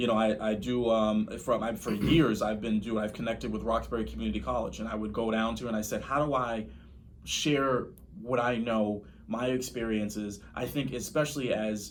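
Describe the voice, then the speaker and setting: A man with an American accent at a medium pitch, ordinary pitch variation and a moderate pace, with audible room echo. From Boston, Dorchester. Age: 30s. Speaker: real estate investor. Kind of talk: podcast interview.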